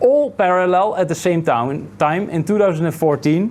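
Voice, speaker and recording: Lively intonation marks a man speaking with a Dutch accent. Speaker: meetup organizer and interviewer. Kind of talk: interview at a meetup. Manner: halting.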